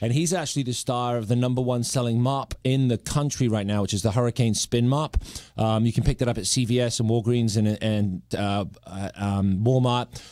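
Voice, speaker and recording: A man's medium-pitched voice, dark and mellow in tone, at a moderate pace with ordinary pitch variation and hardly any pauses. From Britain. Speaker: legendary TV pitchman. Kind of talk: casual radio interview talk.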